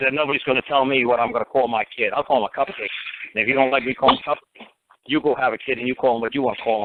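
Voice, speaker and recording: At a very fast pace, a man with a New York accent speaks in a medium pitch. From New York City, Bronx. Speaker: common law talk show host. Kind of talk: call-in radio advice. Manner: animated.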